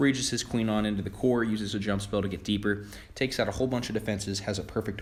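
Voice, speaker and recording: Very fast, somewhat breathy speech from a man at a fairly low pitch, with audible room echo. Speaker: gaming video creator. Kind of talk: gameplay commentary. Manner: stumbling over words; enthusiastic.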